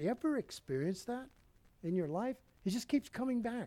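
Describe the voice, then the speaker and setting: A man's dark, mellow tone with very wide pitch swings, at a moderate pace. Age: 70s. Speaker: pastor. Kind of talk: sermon. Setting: church.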